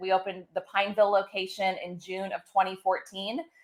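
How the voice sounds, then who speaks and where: This woman has a slight Midwestern accent. Her pitch is medium. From Ohio. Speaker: pet care business owner. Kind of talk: interview.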